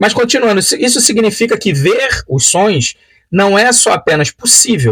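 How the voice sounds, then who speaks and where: With a Carioca accent, a man speaks in very wide pitch swings. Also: dry, close sound with no echo. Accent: Carioca (Rio de Janeiro) Portuguese. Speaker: Bible study teacher. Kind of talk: lecture. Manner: hesitant, many filler sounds.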